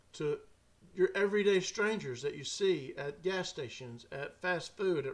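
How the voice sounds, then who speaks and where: With a Southern US accent, a man speaks at a high pitch. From Mississippi. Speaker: podcast host and storyteller. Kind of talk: casual talk to camera.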